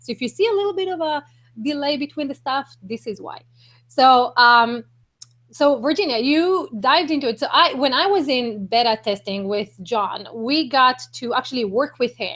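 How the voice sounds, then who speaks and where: Speaking at a moderate pace with a non-native accent, a woman uses lively intonation and a high pitch. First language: not English. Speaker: online marketing broadcaster. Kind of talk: live-stream interview. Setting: live video hangout.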